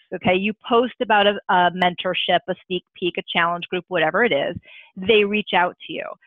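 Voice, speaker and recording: A woman speaks at a fairly quick pace. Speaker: social media trainer. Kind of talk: online training call. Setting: video call. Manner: fast.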